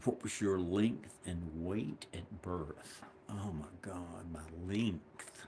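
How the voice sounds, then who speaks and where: With an American accent, this speaker keeps the intonation fairly even. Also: man. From US South, South Carolina. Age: 60s. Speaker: woodworker and channel owner. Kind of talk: casual monologue. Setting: woodshop. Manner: halting.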